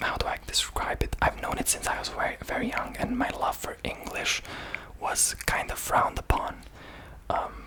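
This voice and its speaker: Someone whispers with a Serbian accent at a moderate pace. Background noise is noticeable. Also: man. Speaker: ASMR creator. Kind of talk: ASMR talk about languages. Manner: soft-spoken; halting, many fillers.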